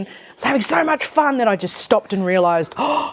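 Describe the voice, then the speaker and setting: Speaking with an Australian accent, a woman at a medium pitch uses lively intonation. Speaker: entrepreneur. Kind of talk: interview on stage. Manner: animated.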